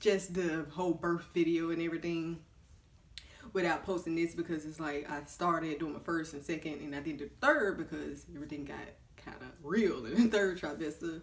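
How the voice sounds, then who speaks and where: Spoken at a moderate pace in a Southern US accent, the voice keeps a fairly even intonation while its loudness swings widely. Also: woman, fairly low pitch for a woman. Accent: Southern American. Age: 20s. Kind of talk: casual talk to camera. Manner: chatty.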